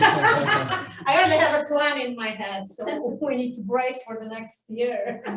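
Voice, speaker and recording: With a Polish accent, a woman speaks in a high pitch and lively intonation, and audible room echo surrounds her. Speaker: language teacher. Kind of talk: panel discussion.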